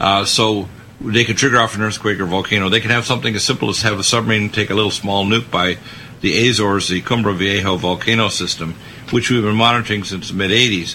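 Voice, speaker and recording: Over noticeable background noise, a man with a fairly low pitch rattles along at a very fast pace in a monotone, flat delivery. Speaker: radio host. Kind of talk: talk radio discussion.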